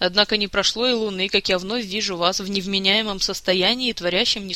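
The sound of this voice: Here we hear an unforced reading voice.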